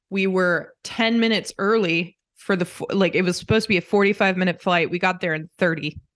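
The speaker has a normal speaking voice with an American accent and fairly even intonation. The pace is fairly quick against a quiet background. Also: woman, medium pitch for a woman. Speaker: podcast co-host, daughter. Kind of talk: casual family chat.

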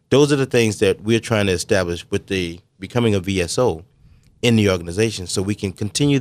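An American man talks at a fairly quick pace, his pitch fairly low with ordinary variation, in a normal speaking voice. The recording is very clean, with a silent background. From South Carolina, US. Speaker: navy veteran and realtor. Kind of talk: radio interview.

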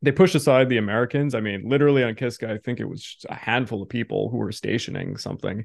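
A man with vocal fry talks at a very fast pace. He uses hardly any pauses, and the background is quiet. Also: medium pitch for a man, ordinary pitch variation. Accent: Canadian. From Canada. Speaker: history podcast host. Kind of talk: interview.

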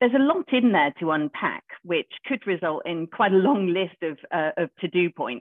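A woman with a normal speaking voice talks at a fairly low pitch with lively intonation. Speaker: lawyer. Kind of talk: professional discussion. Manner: fluent, formal.

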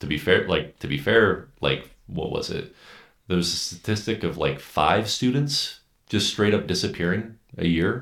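In an unremarkable speaking voice, a man with fairly low pitch speaks at a fairly slow pace with lively intonation. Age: 30s. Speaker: software QA lead, former hotel worker. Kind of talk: casual interview.

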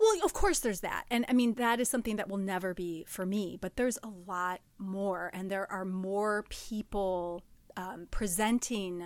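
At a fairly slow pace, a woman with a medium pitch speaks in an animated tone on a very clean recording with a silent background. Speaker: podcast host. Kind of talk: casual chat. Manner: animated, laughs often.

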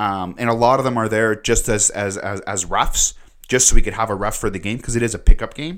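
The speaker has a Canadian accent and a fairly quick pace. The recording is very clean, with a silent background. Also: man, medium pitch for a man, ordinary pitch variation. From Canada (moved from Lebanon at 8). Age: 30s. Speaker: podcast host. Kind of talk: personal storytelling monologue. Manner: halting, many repeated words.

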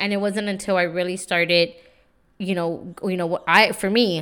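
A woman with an American accent at a fairly low pitch and moderate pace, in a monotone, flat intonation on a very clean recording with a silent background. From San Antonio, Texas (East Side). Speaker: podcast host, empowerment coach. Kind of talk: motivational monologue. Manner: casual, repetitive filler words.

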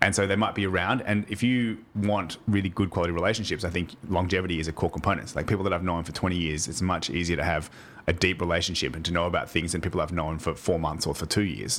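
Speaking at a very fast pace with hardly any pauses, a man talks in a very deep, low voice. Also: ordinary pitch variation. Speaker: podcast guest. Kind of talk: casual interview chat. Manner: fast talker.

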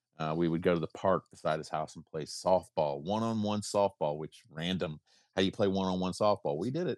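In a dry, close sound with no echo and a quiet background, a man with an American accent speaks at a very fast pace in a very deep, low voice. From US South, South Carolina. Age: 40s. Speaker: guest co-host. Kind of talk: casual chat. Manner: halting, repeats words.

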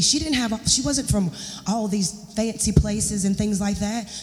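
A woman's medium-pitched voice with an American accent, audible room echo and noticeable background noise. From US South, Charlotte, North Carolina. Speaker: guest preacher. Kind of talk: sermon. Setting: church.

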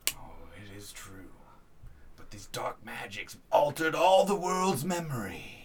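Quiet and at a fairly slow pace, a man does a put-on character voice pitched fairly high, with very wide pitch swings and long, frequent pauses. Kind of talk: archaic wise-mentor speech. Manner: hushed, grave, solemn.

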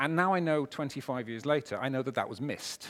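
This man speaks at a fairly quick pace. His pitch variation is ordinary. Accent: Welsh. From Wales. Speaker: business strategist and keynote speaker. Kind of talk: keynote talk. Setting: stage with audience. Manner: animated.

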